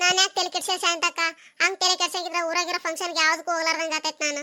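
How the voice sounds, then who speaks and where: A woman performs a cartoonish character voice at an extremely high pitch. She speaks very fast with monotone, flat intonation. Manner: chatty, complaining.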